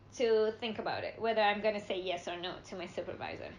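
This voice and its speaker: This speaker has an Indonesian accent and talks at a moderate pace. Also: woman. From Indonesia (Java). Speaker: international student. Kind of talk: casual chat.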